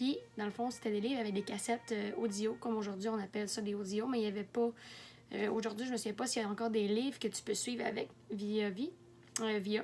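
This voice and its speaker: A woman talks very fast in a fairly high voice with a Quebec accent. Her intonation stays fairly even. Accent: Québécois French. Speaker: book vlogger. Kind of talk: casual video monologue. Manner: halting, many fillers.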